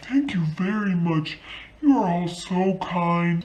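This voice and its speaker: Putting on a character voice, a woman talks fairly slowly at a medium pitch over light background noise. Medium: solo performance.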